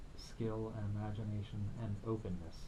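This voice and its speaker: With audible room echo, a man speaks in a somewhat breathy voice with fairly even intonation. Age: 60s. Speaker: musician and filmmaker. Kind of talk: radio interview. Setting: radio studio.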